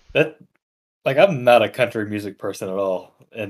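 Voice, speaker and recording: Talking at a fairly quick pace, a man uses a plain, everyday voice, fairly low in pitch, with ordinary pitch variation. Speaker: college engineering student, guest. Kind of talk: casual banter.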